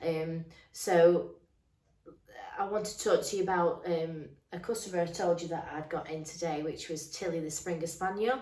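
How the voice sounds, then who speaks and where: A dark, mellow tone with fairly even intonation comes through with audible room echo. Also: woman. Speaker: dog groomer. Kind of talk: casual chat. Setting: home grooming salon. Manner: hesitant, lots of ums.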